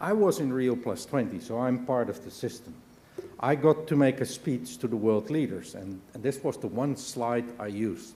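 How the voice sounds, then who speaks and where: A man with a non-native accent speaks at a moderate pace and medium pitch. His intonation is lively. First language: not English. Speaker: business leader. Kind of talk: conference speech.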